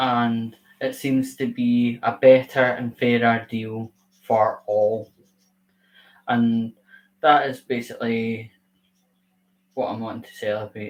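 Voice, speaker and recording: Very slow and monotone, a man at a medium pitch speaks with long, frequent pauses and big swings in loudness. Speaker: YouTuber hosting a livestream. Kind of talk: casual livestream talk. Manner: robotic; halting.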